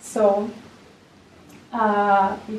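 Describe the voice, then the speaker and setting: A woman with a medium-pitched voice is heard with audible room echo. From Czech Republic. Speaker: recorder teacher and performer. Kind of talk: conference lecture. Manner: halting, with fillers and repetitions.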